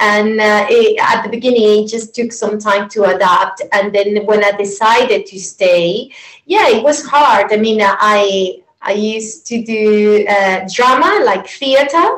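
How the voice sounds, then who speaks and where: Speaking with a Venezuelan accent, a woman uses a fairly high pitch, ordinary pitch variation and a fairly slow pace. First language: Spanish. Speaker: yoga teacher. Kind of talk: interview. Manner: halting.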